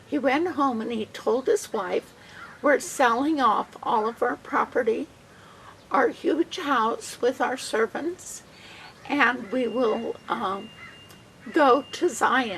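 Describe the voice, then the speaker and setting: A woman with a high pitch speaks very slowly, with lively intonation and long, frequent pauses. Background noise is noticeable. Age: 70s. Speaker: church member telling a family history. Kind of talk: storytelling.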